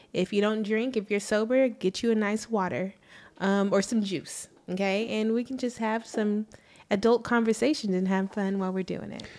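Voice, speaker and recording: On a very clean recording with a silent background, an ordinary speaking voice moves at a moderate pace with fairly even intonation. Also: woman. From Texas, Arlington. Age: 30s. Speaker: podcast co-host. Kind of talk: casual chat. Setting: studio.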